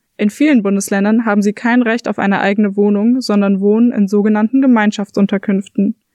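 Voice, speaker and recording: In a dry, close sound with no echo, a woman with an unremarkable speaking voice talks at a moderate pace, her pitch fairly high and her intonation fairly even. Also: quiet background. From Frankfurt. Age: 20s. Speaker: student, podcast host. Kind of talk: scripted narration.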